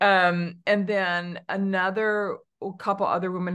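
A woman with a Californian accent, against a quiet background. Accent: Californian American. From Southern California. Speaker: HR consultant and author. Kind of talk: interview.

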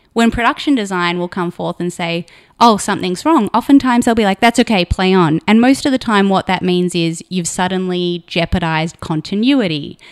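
With an Australian accent, a woman speaks at a fairly quick pace with hardly any pauses, medium pitch and lively intonation. The sound is dry and close with no echo, in a very clean recording with a silent background. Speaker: production designer. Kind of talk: casual interview.

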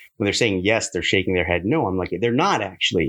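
Against a quiet background, a man speaks with a Californian accent. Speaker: podcast guest.

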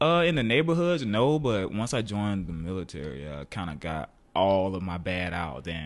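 Over audible room echo, a man with an American accent speaks at a moderate pace in a very deep, low voice, swinging very widely in pitch with hardly any pauses. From US South. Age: 20s. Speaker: painter. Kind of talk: casual chat. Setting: home studio.

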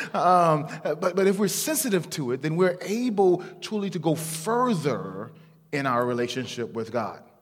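The voice moves at a moderate pace with very wide pitch swings. Noticeable background noise is present. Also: man, high pitch for a man. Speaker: guest preacher. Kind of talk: sermon. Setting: church. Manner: animated.

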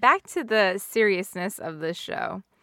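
A woman's very slow speech in an American accent, medium in pitch, bright and sharp in tone, with vocal fry. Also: very clean recording, silent background. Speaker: podcast host. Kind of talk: casual chat. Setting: studio.

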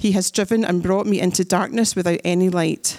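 A woman talks at a moderate pace with fairly even intonation and a medium pitch. She has a plain, everyday voice. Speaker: scripture reader. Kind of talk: reading aloud. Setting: church.

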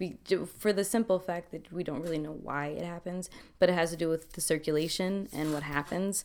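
A woman with a plain, everyday voice speaks at a fairly low pitch and a fairly quick pace, in a very clean recording with a silent background. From Milwaukee, Wisconsin (Army family, moved around). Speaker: dancer living with lupus. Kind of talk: casual interview, personal testimony.

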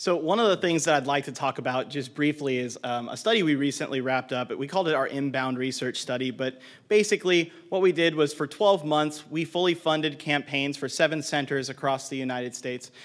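On a very clean recording with a silent background, a man with an unremarkable speaking voice talks fairly quickly at a fairly high pitch, using ordinary pitch variation and hardly any pauses. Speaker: marketing director, conference speaker. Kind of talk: conference presentation. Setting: stage with audience. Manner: uses many filler words.

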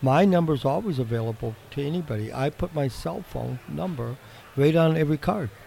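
With an American accent, the voice is dark, mellow and somewhat breathy. It moves at a fairly quick pace with lively intonation. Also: man, fairly high pitch for a man. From Wisconsin. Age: 60s. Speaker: shed builder. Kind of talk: casual interview chat. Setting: live at home and garden show.

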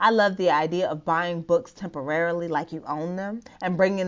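A woman with an American accent and an unremarkable speaking voice talks at a moderate pace, her pitch fairly low with ordinary variation. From US, Nigerian American family. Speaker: blogger, therapist. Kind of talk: reading own blog post aloud. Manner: casual, conversational.

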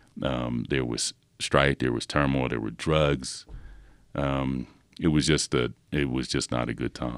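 Speaking with an American accent, a man has a very deep, low pitch, vocal fry and monotone, flat intonation, talking at a fairly slow pace in a dry, close sound with no echo. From Philadelphia, US. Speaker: professor. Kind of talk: casual chat. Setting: studio. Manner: halting.

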